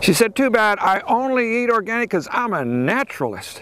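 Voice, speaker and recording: This man's voice sits at an extremely high pitch and is raised and projected. He talks at a moderate pace with lively intonation. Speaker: farmer and stand-up comedian. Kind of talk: stand-up comedy set with farm humour.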